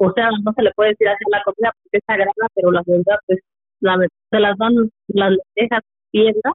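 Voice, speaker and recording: This is a plain, everyday voice from a woman. She moves at a fairly quick pace with fairly even intonation. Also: medium pitch for a woman. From Mexico, Michoacán. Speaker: relative of a prisoner. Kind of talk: testimony.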